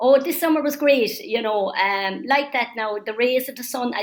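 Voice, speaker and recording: A woman with a Cork accent and a lively, bouncing intonation. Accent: Cork Irish. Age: 70s. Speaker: older persons' council member. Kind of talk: interview. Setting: webinar. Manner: animated.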